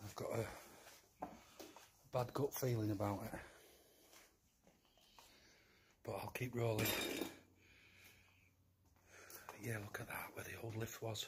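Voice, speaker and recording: Long, frequent pauses break up speech delivered at a fairly slow pace over loud background noise. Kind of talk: casual vlog chat. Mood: wary, uneasy. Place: empty room. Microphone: phone near.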